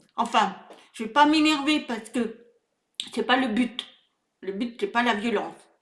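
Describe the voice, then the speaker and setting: Her tone is animated and her pitch high. The woman goes at a fairly slow pace with ordinary pitch variation. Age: 60s. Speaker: video blogger. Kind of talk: political rant monologue. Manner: halting, many repetitions and hesitations; animated, indignant.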